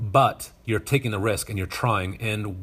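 Speaking at a fairly slow pace with an American accent, this man has an unremarkable speaking voice pitched fairly low. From US West, Northern Nevada. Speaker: high school TV production teacher. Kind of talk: interview conversation. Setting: video call.

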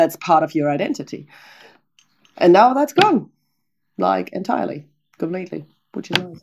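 With a German accent, a woman speaks at a moderate pace in a fairly low voice, her intonation lively and touched with vocal fry. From northern Germany, Oldenburg area. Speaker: tour guide. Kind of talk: interview conversation.

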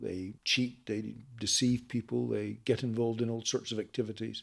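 Fairly even intonation and a moderate pace mark this voice in a Northern Irish accent, in a very clean recording with a silent background. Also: man. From Northern Ireland. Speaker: peace negotiator and politician. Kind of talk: interview. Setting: in person at a conference.

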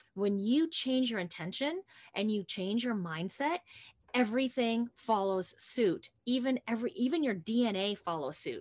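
Animated woman at a moderate pace, fairly high-pitched with very wide pitch swings, in a dry, close sound with no echo. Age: 50s. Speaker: podcast host and health coach. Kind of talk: casual chat.

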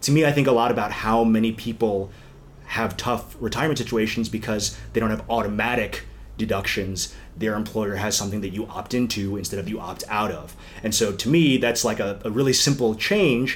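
The speaker has an American accent and a fairly quick pace. Intonation stays fairly even, with audible room echo. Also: man, fairly low pitch for a man. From US, northern Virginia (DC suburbs). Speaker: political consultant. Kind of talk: interview.

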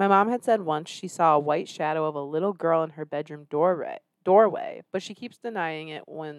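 A normal speaking voice moves at a fairly quick pace with ordinary pitch variation, the sound dry and close with no echo in a very clean recording over a silent background. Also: woman. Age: 30s. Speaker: podcast host. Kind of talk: casual banter comedy chat.

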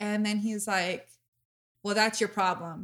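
Loud and bright with a sharp tone, a woman speaks at medium pitch and a moderate pace with ordinary pitch variation, on a very clean recording with a silent background. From Mexican-American. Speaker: podcast host. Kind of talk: casual chat. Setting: studio.

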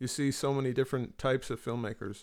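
In a very clean recording with a silent background, a man with a fairly high pitch speaks at a moderate pace. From US West Coast, Marin County, San Francisco Bay Area. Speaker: author and filmmaker. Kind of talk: casual chat.

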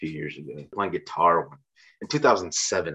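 In an American accent, a man speaks at a moderate pace. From Chicago suburbs, Illinois. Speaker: singer-songwriter. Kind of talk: interview.

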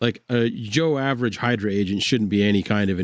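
This man has a fairly low pitch, ordinary pitch variation and a fairly quick pace, with an unremarkable speaking voice. The recording is very clean, with a silent background. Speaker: gaming show co-host. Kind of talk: casual chat about tabletop games.

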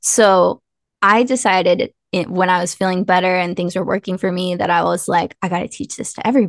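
Talking at a fairly quick pace, a woman with a normal speaking voice sits at medium pitch in a dry, close sound with no echo. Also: fairly even intonation. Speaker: author and podcast co-host. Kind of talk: casual interview chat. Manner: casual, conversational.

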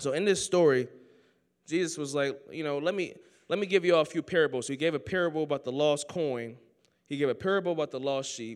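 Very fast speech from a man at a fairly high pitch, with ordinary pitch variation, on a very clean recording with a silent background. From Oakland, California. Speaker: student preacher. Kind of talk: sermon. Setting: chapel with audience. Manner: animated.

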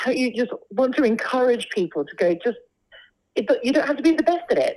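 A woman with a London accent speaks at a fairly quick pace in a high pitch, her intonation lively. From London, England. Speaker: opera singer. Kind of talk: casual interview chat.

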